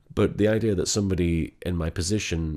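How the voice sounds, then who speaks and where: Quietly and at a fairly slow pace, a man with a very deep, low pitch and ordinary pitch variation speaks on a very clean recording with a silent background. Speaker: online content creator / comedy voice actor. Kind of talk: personal vlog. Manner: speaking quietly; halting, many fillers and repetitions.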